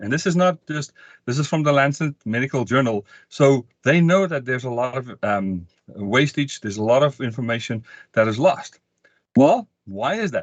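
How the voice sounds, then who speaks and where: Lively intonation marks a man's medium-pitched voice, recorded with a dry, close sound with no echo against a quiet background. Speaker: sales training presenter. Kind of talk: webinar presentation. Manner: fast.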